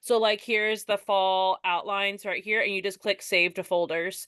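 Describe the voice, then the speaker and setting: With ordinary pitch variation, a woman is talking. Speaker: direct sales consultant. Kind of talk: tutorial. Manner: fast.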